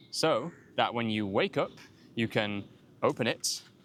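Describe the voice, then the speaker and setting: With a Yorkshire accent, a man speaks at a fairly slow pace and with lively intonation. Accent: Northern English (Yorkshire). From York, England. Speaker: English teacher. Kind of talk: educational talk to camera.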